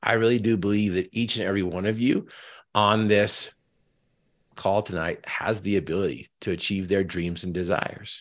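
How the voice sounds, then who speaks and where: In an American accent, a man with an ordinary speaking voice talks at a moderate pace, his fairly low pitch held in fairly even intonation. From Northern Utah. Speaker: motivational speaker and Paralympic athlete. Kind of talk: motivational talk. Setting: video call. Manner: repeats words when starting sentences.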